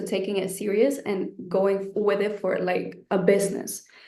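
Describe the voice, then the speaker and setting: Audible room echo follows a voice speaking at a moderate pace. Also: woman. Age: 20s. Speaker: online business creator, course student. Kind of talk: webinar interview.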